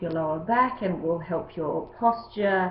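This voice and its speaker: A woman with ordinary pitch variation, amid audible room echo. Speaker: yoga teacher. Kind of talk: tutorial.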